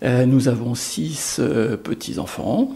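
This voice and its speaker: A man's dark, mellow voice with vocal fry, very slow in pace, with very wide pitch swings. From France, Lyon. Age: 60s. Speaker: deacon candidate. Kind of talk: testimony. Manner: halting, many hesitations.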